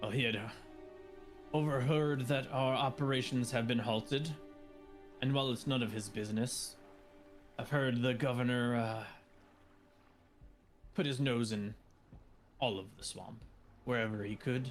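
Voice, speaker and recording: A man puts on a character voice at a medium pitch and a moderate pace, with long, frequent pauses. Clear music plays in the background. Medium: actual play. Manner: gruff, curt, blunt.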